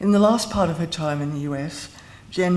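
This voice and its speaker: Amid noticeable background noise and audible room echo, the speech goes at a moderate pace. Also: woman. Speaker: former university lecturer giving a eulogy. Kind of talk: eulogy. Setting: memorial service with audience. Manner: mumbling.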